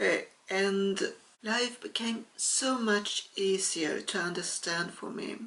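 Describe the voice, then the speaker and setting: A woman's medium-pitched voice at a very slow pace, with ordinary pitch variation and noticeable background noise. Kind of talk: casual talk to camera.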